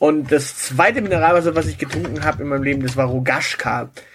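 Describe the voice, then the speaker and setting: Noticeable background noise runs under a man's speech. He talks at a fairly quick pace with fairly even intonation. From southern Germany, Swabia. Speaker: podcast co-host. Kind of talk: casual chat.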